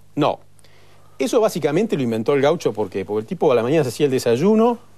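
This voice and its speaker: Talking at a very fast pace, a man with a fairly high pitch makes very wide pitch swings in a dark, mellow tone. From Argentina, Bariloche; Argentina. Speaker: chef; guest. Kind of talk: TV talk show interview. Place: studio.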